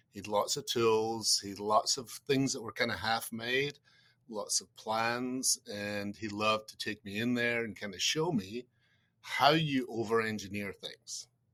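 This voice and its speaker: In a very clean recording with a silent background, a man with a Scottish accent talks slowly at a medium pitch in a bright, sharp tone, his intonation fairly even but his loudness swinging widely. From Scotland. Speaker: insurance research executive. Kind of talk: podcast interview.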